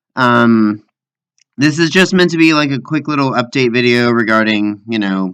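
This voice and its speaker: A man's intonation is lively while his pace stays moderate. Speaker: video game commentary creator. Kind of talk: casual talk to camera. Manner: hesitant, rambly.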